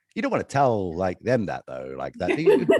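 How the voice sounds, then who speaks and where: A man talks fairly quickly with vocal fry and lively intonation. The recording is very clean, with a silent background and a dry, close sound with no echo. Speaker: managing director of a media company. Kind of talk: interview. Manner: animated; loud.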